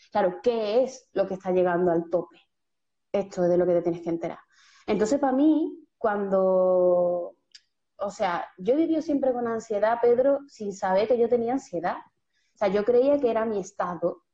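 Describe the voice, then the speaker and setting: Woman at a medium pitch, in an Andalusian accent, with lively intonation and a moderate pace. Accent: Andalusian Spanish (Seville). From Seville, Andalusia, Spain. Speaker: writer and poet, creative workshop leader. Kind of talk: casual interview conversation. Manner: animated.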